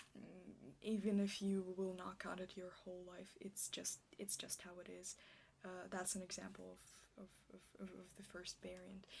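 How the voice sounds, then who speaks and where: The speaker is soft-spoken and goes at a fairly slow pace. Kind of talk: ASMR roleplay rambling about medical facts. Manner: stuttering, hesitant, awkward.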